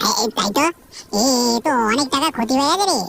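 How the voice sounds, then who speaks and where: In a high-pitched cartoonish character voice, a female-sounding speaker rattles along at a very fast pace. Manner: gentle, fatherly.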